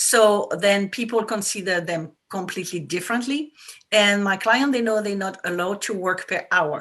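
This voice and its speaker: With a French accent, a woman speaks in a bright, sharp tone with ordinary pitch variation. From France. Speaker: business coach for women entrepreneurs. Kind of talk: interview. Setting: talk radio show.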